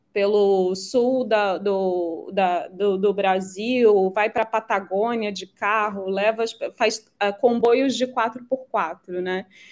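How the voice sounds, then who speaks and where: At a very slow pace yet with hardly any pauses, a woman talks at a medium pitch and fairly even intonation. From Rio de Janeiro, Brazil. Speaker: venture capital CEO. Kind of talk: podcast interview answer. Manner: light, relaxed.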